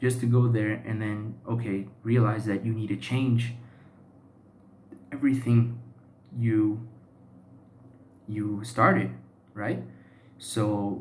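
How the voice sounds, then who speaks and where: The voice is somewhat breathy, with a Portuguese accent and fairly even intonation. It moves at a fairly slow pace, with audible room echo. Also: man. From Brazil, São Paulo. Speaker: YouTuber practicing English. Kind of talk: personal monologue vlog. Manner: halting, many fillers and self-repairs.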